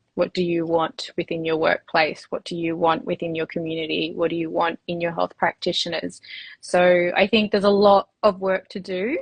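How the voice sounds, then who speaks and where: With an Australian accent, a woman talks at a moderate pace in a fairly low, somewhat breathy voice with fairly even intonation. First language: Spanish. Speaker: women's health clinic owner. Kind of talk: interview. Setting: livestream. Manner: hesitant, many fillers.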